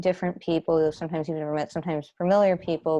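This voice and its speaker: In a dark, mellow tone, a woman speaks at a very deep, low pitch with monotone, flat intonation against a quiet background. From Long Island, New York. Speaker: stage manager. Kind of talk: casual chat. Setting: video call.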